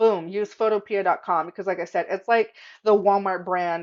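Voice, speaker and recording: Against a quiet background, a woman speaks at a moderate pace. Her tone is animated. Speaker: craft tutorial youtuber; tutorial host. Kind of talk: tutorial. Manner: casual, animated. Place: home room. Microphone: webcam.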